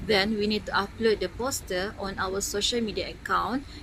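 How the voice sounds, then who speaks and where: A woman with a Malaysian accent at a fairly quick pace, with noticeable noise in the background. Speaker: university student intern. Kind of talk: vlog narration.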